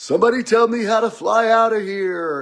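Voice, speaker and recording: A man puts on a character voice at a high pitch. He keeps a moderate pace with ordinary pitch variation. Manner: preacher-like.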